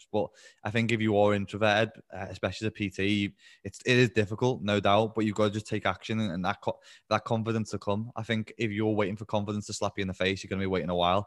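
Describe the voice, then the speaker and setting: In a Liverpool accent, a man with a fairly low pitch speaks very fast in a flat monotone, on a very clean recording with a silent background and a dry, close sound with no echo. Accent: Liverpool (Scouse). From Liverpool, England. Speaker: online fitness coach. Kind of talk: casual interview chat. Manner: fast talker.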